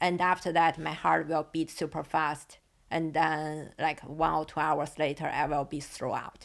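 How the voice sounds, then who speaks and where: A woman with a non-native accent speaks at a fairly slow pace. Her voice is very deep and low in pitch, with monotone, flat intonation. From northern China. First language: Chinese. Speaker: podcast guest, host's partner. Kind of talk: casual chat. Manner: halting.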